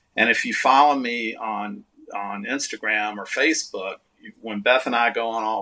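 The speaker has a Texan accent and talks at a fairly slow pace. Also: man. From Texas. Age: 60s. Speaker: artist and musician. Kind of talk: casual chat. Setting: video call.

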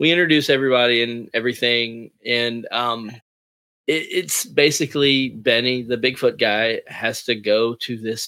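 This man has an unremarkable speaking voice, medium in pitch, delivered at a moderate pace with fairly even intonation. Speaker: comic writer and creator. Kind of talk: casual interview chat.

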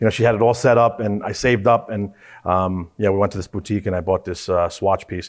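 A man with an American accent and an unremarkable speaking voice, at fairly low pitch, with fairly even intonation and a fairly quick pace, on a very clean recording with a silent background. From New York, Queens. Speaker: watch club founder. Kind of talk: casual chat.

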